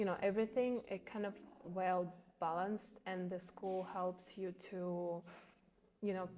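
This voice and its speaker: A woman with a Ukrainian accent, medium pitch and a dark, mellow tone, flat and monotone, at a fairly slow pace with long, frequent pauses. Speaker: volleyball player. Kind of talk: interview. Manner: halting, many fillers.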